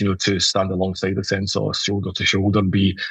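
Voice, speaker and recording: A somewhat breathy, fairly low-pitched male voice at a moderate pace. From Scotland, Glasgow. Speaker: CEO of a customer service outsourcing business. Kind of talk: podcast interview.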